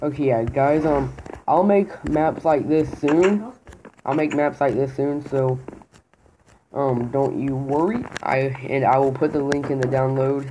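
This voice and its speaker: Delivered at a fairly slow pace, the speech has long, frequent pauses and noticeable background noise. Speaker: gamer. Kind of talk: gameplay commentary. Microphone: phone near.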